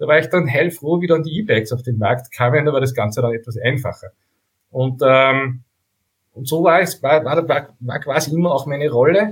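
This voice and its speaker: A man speaks at a moderate pace in a fairly high pitch. His voice is somewhat breathy, with ordinary pitch variation. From Upper Austria (Steyr). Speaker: bike photographer. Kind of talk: casual interview.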